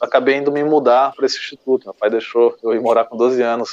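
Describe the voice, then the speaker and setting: Flat and monotone, a man speaks at a medium pitch. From Brazil, Goiás (Chapada dos Veadeiros). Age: 30s. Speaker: agroforestry farmer and consultant. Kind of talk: interview. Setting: remote call.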